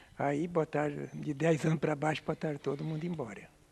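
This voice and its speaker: This man has a fairly high pitch, a dark, mellow tone and fairly even intonation. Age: 80s+. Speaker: retired shipyard worker. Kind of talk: oral history testimony. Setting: group memory circle.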